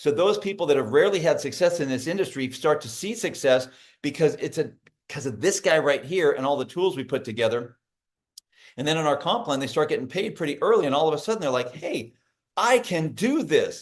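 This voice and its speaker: This man's fairly high pitch comes with a fairly quick pace, lively intonation and an animated tone. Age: 60s. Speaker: network marketing business leader. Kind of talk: business opportunity presentation on a video call.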